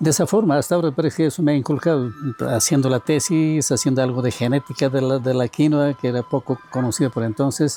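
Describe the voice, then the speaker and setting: Over music in the background, a man talks in a medium pitch with ordinary pitch variation. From Bolivian Altiplano, rural Oruro. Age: 70s. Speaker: agronomist and university professor. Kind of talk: interview testimony. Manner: halting, with self-corrections.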